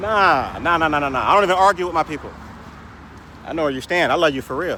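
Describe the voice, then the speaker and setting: Noticeable background noise sits behind a man talking at a very fast pace with a fairly high pitch and ordinary pitch variation. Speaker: vlogger. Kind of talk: casual monologue rant. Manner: stutters at times; animated.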